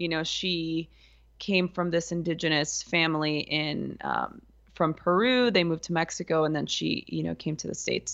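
Fairly even intonation marks an ordinary speaking voice, which has an American accent and holds a moderate pace. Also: woman, fairly low pitch for a woman. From US, East Los Angeles. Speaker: yoga and meditation teacher. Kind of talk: casual interview. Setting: studio.

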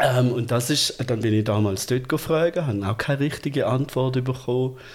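At a moderate pace, a man with a plain, everyday voice speaks at medium pitch, with fairly even intonation and very even loudness. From Germany. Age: 50s. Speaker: transgender man telling his life story. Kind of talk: casual interview conversation.

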